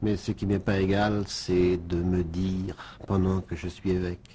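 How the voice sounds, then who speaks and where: At a very slow pace, a man with a very deep, low pitch and a dark, mellow tone speaks somewhat breathily with fairly even intonation. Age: 60s. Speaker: bishop. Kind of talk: radio interview. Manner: halting, repeats words.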